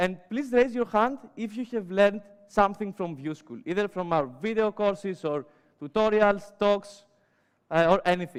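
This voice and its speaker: With a Greek accent, a man speaks in a high voice. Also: ordinary pitch variation, moderate pace. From Greece. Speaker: web developer and educator. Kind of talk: conference talk. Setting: stage with audience. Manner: many filler sounds.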